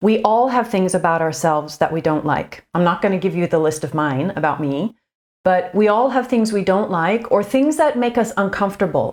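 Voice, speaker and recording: The voice is quiet, with lively intonation and a moderate pace. The recording is very clean, with a silent background. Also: woman, medium pitch for a woman. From Canada. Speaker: communications coach. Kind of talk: tutorial. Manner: quiet and reserved.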